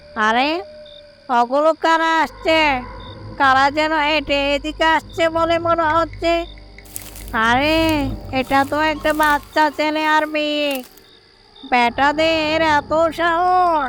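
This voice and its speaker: A female-sounding cartoonish character voice at a high pitch and a very slow pace, with music in the background. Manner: threatening, sly.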